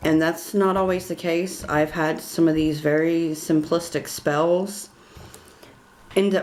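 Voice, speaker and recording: Fairly low in pitch, a woman speaks at a fairly slow pace with fairly even intonation. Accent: Southern US. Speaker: witchcraft tutorial creator. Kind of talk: tutorial. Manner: casual, hesitant with fillers.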